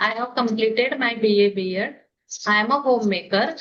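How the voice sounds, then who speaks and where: A woman speaks with an Indian accent at a moderate pace. Her voice sits fairly high, with ordinary pitch variation. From India, Maharashtra. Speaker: homemaker, English learner. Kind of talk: casual chat. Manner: halting.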